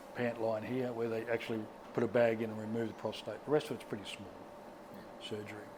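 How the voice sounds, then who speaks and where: A man talks at a moderate pace with an Australian accent. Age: 60s. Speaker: prostate cancer survivor. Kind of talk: interview answer.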